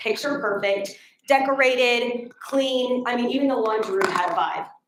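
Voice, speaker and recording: High-pitched woman's voice at a fairly quick pace, with audible room echo. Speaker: public speaker. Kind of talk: prepared talk.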